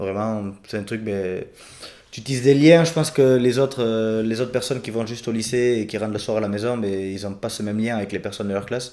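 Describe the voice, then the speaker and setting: A man talks at a fairly quick pace in a dark, mellow tone. His pitch is medium with ordinary variation. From Béarn, France. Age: 20s. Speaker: farmer. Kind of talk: podcast interview answer.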